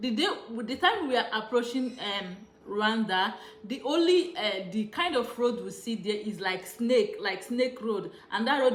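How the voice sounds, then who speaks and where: A woman's fairly high voice with a Nigerian accent, amid noticeable background noise and audible room echo. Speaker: travel vlogger. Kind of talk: casual vlog monologue. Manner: hesitant, many fillers.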